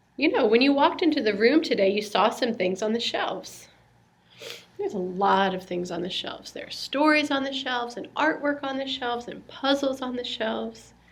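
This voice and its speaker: A soft-spoken woman talks at a fairly quick pace in a high pitch with lively intonation and big swings in loudness. Noticeable background noise is present. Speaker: religious education teacher. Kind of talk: tutorial demonstrating a children's lesson.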